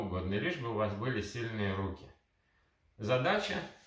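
A man speaks against a quiet background. Room echo is audible. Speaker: kettlebell trainer. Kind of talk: tutorial. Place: home room. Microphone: camera far.

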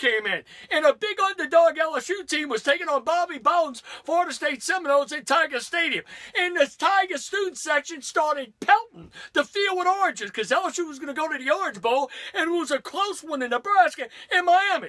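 Someone with an American accent talks in a raised, projected voice at a fairly quick pace with lively intonation. The background is quiet. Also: man, extremely high pitch for a man. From US South, Louisiana. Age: 50s. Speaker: sports radio host. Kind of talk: angry comedic rant about college football fans. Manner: animated, indignant, sarcastic. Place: studio. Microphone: camera far.

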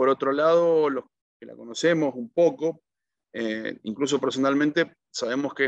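Over a quiet background, a man talks at a moderate pace with fairly even intonation, the sound dry with no echo. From Argentina. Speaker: accountant and economic analyst; economic analyst. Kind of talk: interview answer, economic analysis. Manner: hesitant, frequent fillers (eh, digamos). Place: home room. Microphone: video call.

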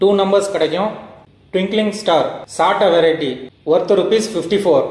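Fairly even intonation marks this man's speech. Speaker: fireworks product reviewer. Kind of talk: product review talk to camera.

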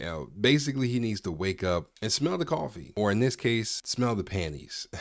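Over a quiet background, a man speaks at a moderate pace with lively intonation. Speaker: reaction commentary youtuber. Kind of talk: commentary. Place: home room. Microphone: studio mic.

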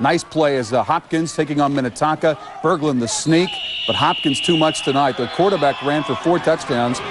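A man with fairly high pitch speaks fairly quickly over noticeable background noise, his pitch varying in an ordinary way. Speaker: sports highlights announcer. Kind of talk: live-style sports commentary voiceover over game highlights. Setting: studio voiceover. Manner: fast, punchy, energetic play-by-play delivery.

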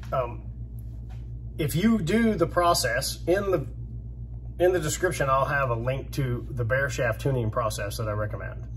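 A man speaks at a moderate pace with long, frequent pauses, amid noticeable background noise and audible room echo. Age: 50s. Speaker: bowhunting YouTuber. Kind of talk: casual monologue.

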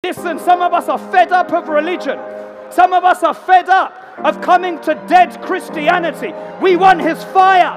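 A man's extremely high voice at a moderate pace, with clear music in the background. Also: ordinary pitch variation. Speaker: evangelist, tent revival preacher. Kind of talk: live preaching and altar call at a revival meeting. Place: tent.

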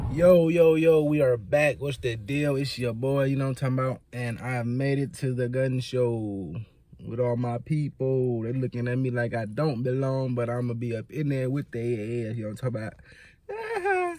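In an American accent, a man talks at a moderate pace, the sound dry with no echo. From California. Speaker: vlogger. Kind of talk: casual vlog to camera. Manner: animated. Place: car. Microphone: phone near.

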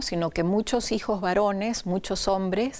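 This is a woman speaking. Her pitch variation is ordinary. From Venezuela. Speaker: writer. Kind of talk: interview. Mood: warm, reflective. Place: studio. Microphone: lapel.

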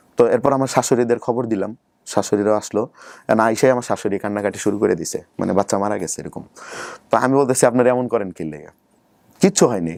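This is a man with an ordinary speaking voice, medium in pitch and with ordinary pitch variation. The recording is very clean, with a silent background. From Bangladesh, Sherpur district (rural) and Dhaka. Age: 20s. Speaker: YouTuber telling life story. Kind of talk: interview, personal life story.

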